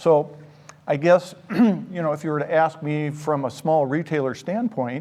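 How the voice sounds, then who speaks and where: In an American accent, a man with a fairly high pitch and a dark, mellow tone speaks at a moderate pace with ordinary pitch variation. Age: 60s. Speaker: store owner. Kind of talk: interview.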